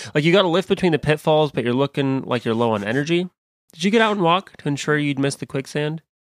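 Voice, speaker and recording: Someone with an American accent talks at a very fast pace in a very clean recording with a silent background. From US Midwest. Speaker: podcast host. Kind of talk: casual banter podcast. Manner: energetic, jokey.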